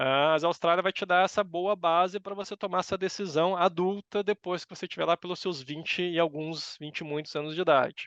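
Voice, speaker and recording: A man speaks at a high pitch and a fairly quick pace, with a dry, close sound with no echo and a quiet background. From Brazil, São Paulo. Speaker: university professor. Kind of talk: interview.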